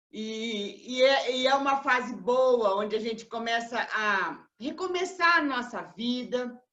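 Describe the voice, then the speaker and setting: Lively intonation marks this woman's high-pitched voice. Her pace is very slow. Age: 70s. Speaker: cancer survivor and lecturer. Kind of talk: talk. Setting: online live broadcast.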